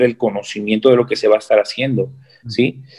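Over a quiet background, a man speaks at a moderate pace in a medium pitch. He has an unremarkable speaking voice. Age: 20s. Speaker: bodybuilder and fitness coach. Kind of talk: interview.

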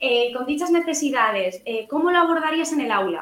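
A woman at a moderate pace. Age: 20s. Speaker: primary school teacher. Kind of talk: interview.

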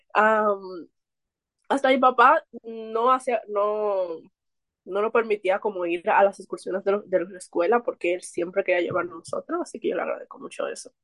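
At a moderate pace, a woman with a normal speaking voice talks in a fairly high pitch with lively intonation. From Dominican Republic, Santo Domingo. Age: 20s. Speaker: book reader and painter. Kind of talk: casual chat.

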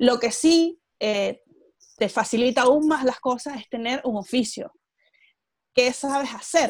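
Speaking very slowly with long, frequent pauses, a woman uses a high pitch and ordinary pitch variation. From Venezuela. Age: 20s. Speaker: entrepreneur and emigrant. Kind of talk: interview. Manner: articulate, engaging speaker.

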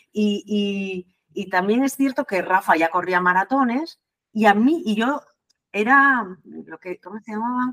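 A woman with an ordinary speaking voice talks at a fairly slow pace with fairly high pitch, lively intonation, and big swings in loudness, in a dry, close sound with no echo. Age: 50s. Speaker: nurse and marathon runner. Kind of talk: interview. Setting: remote call.

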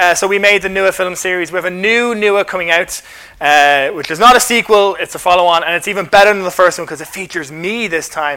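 This man speaks in a raised, projected voice. His pitch is high and his pace fairly quick. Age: 30s. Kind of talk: talk at a church carol service.

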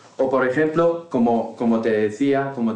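A man is speaking. His pace is fairly slow. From Morocco, Tangier. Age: 30s. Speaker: interview guest. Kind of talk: casual interview. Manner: halting, many repetitions and fillers.

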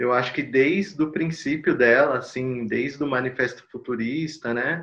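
Speaking fairly slowly, a man keeps to a medium pitch. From São Paulo, Brazil. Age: 30s. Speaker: electronic music artist and researcher. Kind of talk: casual discussion. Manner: halting, many fillers.

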